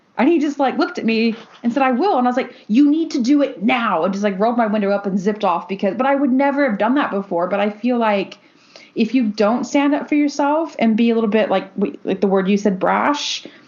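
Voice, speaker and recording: A woman talks very fast with an American accent, her fairly high pitch carried by lively intonation and an animated tone. Her loudness stays very even while noticeable background noise runs underneath. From United States. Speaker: podcast co-host. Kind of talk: casual chat.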